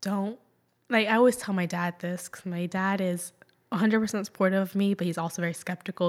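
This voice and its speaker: In a plain, everyday voice, a woman talks at a fairly quick pace and medium pitch with fairly even intonation on a very clean recording with a silent background. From Jacksonville, Florida, US (Puerto Rican parents). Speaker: dancer and painter. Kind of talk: interview.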